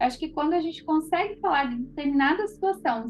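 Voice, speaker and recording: A woman talks at a fairly quick pace in a high pitch. Her intonation is lively. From Paraná, southern Brazil. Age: 30s. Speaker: holistic therapist. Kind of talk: online class.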